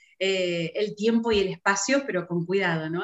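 A woman speaks at a fairly slow pace, her medium pitch rising and falling with ordinary variation. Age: 50s. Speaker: real estate broker. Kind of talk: interview conversation. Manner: halting with frequent repetitions.

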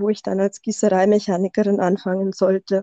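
A woman's dark, mellow voice in a dry, close sound with no echo. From Bavaria. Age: 30s. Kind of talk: casual interview. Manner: tries to avoid monotone.

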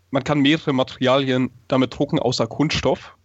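A man's voice, medium in pitch and a plain, everyday voice, moves at a moderate pace. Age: 20s. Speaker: stage magician and engineering student. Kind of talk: interview.

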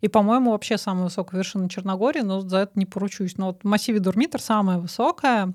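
On a very clean recording with a silent background, a woman talks very fast with hardly any pauses, at medium pitch with ordinary pitch variation, the sound dry and close with no echo. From Moscow, Russia. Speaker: programmer. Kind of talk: casual chat.

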